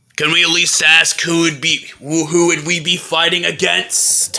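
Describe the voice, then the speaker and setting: In a put-on character voice, a man speaks at a high pitch and a moderate pace. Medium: audio drama. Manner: questioning, cautious.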